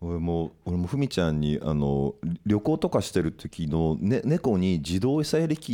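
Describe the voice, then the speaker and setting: Over noticeable background noise, a man with a very deep, low pitch speaks calmly at a fairly slow pace with very wide pitch swings. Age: 50s. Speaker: record label head and podcast host. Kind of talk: casual chat. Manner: calm, deep delivery.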